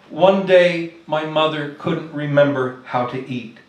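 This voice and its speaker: A man talks at a fairly slow pace with lively intonation, and room echo can be heard. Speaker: poet. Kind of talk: poetry reading. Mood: soft, tender, sorrowful. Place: stage. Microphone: podium.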